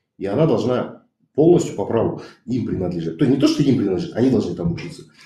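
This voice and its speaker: A man with a dark, mellow tone and medium pitch speaks with vocal fry and very wide pitch swings, with audible echo in the room. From Kazakhstan. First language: Kazakh (speaking Russian). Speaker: activist. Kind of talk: heated debate. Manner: animated.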